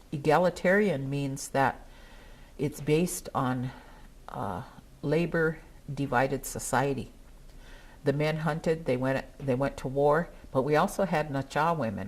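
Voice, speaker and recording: Speaking with a Northern Plains accent, a woman has a very deep, low voice and ordinary pitch variation. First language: Dakota. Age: old. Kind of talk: speech at a gathering.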